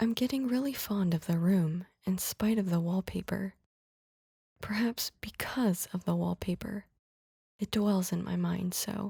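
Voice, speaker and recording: A soft-spoken woman's somewhat breathy, dark, mellow and soothing voice, medium in pitch with ordinary variation, at a fairly slow pace in a dry, close sound with no echo. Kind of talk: ASMR soothing story reading. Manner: soft-spoken, soothing.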